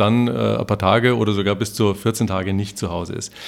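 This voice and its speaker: Using a normal speaking voice, a man talks at a moderate pace. His pitch varies in an ordinary way. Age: 50s. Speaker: podcast host. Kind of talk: interview.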